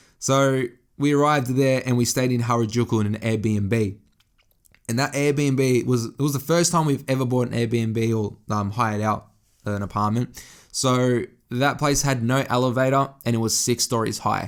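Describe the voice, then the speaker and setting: With an Australian accent, a man speaks at a moderate pace in a medium pitch with fairly even intonation. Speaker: fashion and lifestyle podcaster. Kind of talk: casual solo podcast monologue. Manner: casual, conversational with frequent swearing and self-corrections.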